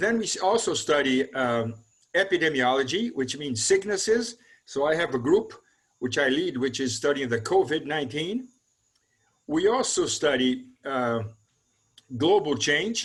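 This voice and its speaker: A man with a Brazilian Portuguese accent, fairly high in pitch, with very wide pitch swings, a moderate pace and long, frequent pauses. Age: 70s. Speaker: mathematical ecology researcher. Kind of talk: interview. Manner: halting, with fillers.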